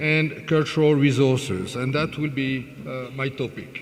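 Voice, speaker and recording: A man with a French accent speaks at a fairly high pitch and a fairly slow pace. Noticeable background noise and audible room echo fill the recording. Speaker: conference speaker. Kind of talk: lecture. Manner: halting, many fillers.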